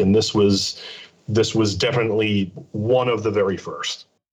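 An ordinary speaking voice from a man of medium pitch, with fairly even intonation at a moderate pace. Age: 40s. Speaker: podcast co-host and music fan. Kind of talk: casual chat.

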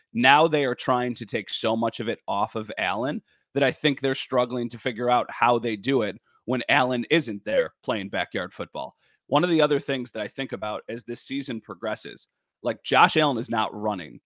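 A man speaks at a moderate pace with medium pitch and ordinary pitch variation. It is an ordinary speaking voice, with a dry, close sound and no echo. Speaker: sports broadcaster and podcast host. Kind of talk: casual sports podcast interview.

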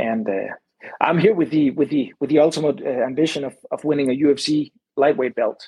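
A man with a Danish accent, a fairly high pitch, ordinary pitch variation and a moderate pace. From Denmark. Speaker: MMA fighter and Olympic wrestler. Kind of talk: casual interview.

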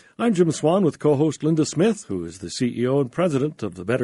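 A man talks at a fairly quick pace in a dark, mellow tone with very wide pitch swings. The background is quiet. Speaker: radio host. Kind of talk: radio interview. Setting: studio.

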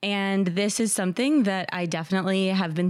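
In an ordinary speaking voice, a woman with an American accent talks at medium pitch and a moderate pace on a very clean recording with a silent background. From New Jersey. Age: 30s. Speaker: anonymous dater sharing her story. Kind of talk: casual interview.

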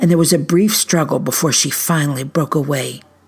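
The speaker is a woman with an American accent. Her pitch is very deep and low. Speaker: storyteller and researcher. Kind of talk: dramatic narration of news reports, read aloud in a spooky campfire-story style. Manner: hushed, suspenseful, measured pacing with ominous emphasis.

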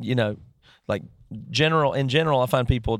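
A man with an American accent speaks in a normal speaking voice at medium pitch, with ordinary pitch variation, on a very clean recording with a silent background. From US South (rural). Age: 30s. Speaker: musician. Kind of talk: casual interview conversation. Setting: parked vehicle.

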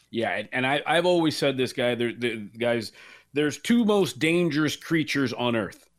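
An unremarkable speaking voice from a man, fairly high in pitch with lively intonation and a moderate pace, in a very clean recording with a silent background. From Los Angeles, Cuban-American family. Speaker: sports betting radio host. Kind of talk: casual interview chat.

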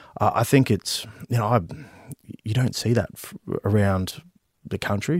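At a moderate pace, a man with an Australian accent and a fairly low pitch speaks with ordinary pitch variation, in a very clean recording with a silent background and a dry, close sound with no echo. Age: 30s. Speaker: politician, army veteran. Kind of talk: interview. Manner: halting, many fillers and repeats.

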